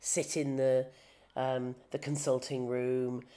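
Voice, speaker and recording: A woman speaks at a very slow pace. Her tone is dark and mellow. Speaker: podcast host and journalist. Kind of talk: interview.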